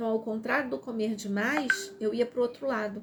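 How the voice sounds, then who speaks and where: A woman speaks at a fairly high pitch with ordinary pitch variation over noticeable background noise. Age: 60s. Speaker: self-help presenter. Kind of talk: live stream book reading with commentary.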